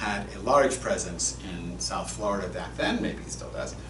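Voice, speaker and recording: With an American accent, a man speaks at a moderate pace in a very deep, low pitch. Noticeable background noise and audible room echo come through. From Massachusetts. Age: 60s. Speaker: rabbi. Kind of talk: sermon. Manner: conversational, storytelling.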